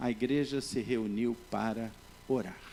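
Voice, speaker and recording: A man speaking at a very slow pace. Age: 60s. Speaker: pastor. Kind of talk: sermon.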